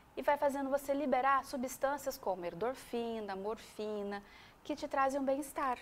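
A woman talks with lively intonation at a high pitch. Light background noise can be heard. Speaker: guest. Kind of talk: interview answer. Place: studio. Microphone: lapel.

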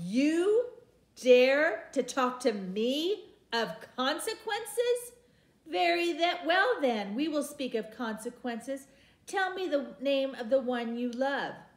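A put-on character voice at a fairly slow pace. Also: woman, high pitch for a woman. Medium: read story. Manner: cold, dismissive, menacing.

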